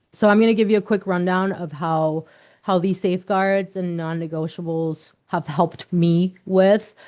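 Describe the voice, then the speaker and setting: A woman with a Spanish accent speaks at a fairly slow pace in a dark, mellow tone, with a medium pitch and fairly even intonation. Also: quiet background. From Mexico. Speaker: nonprofit leader. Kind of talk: workshop presentation. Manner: frequent repetitions and fillers.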